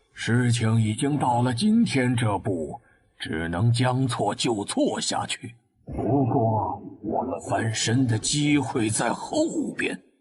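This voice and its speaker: A man performs a raspy put-on character voice at medium pitch. He goes at a fairly slow pace with ordinary pitch variation. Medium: cartoon.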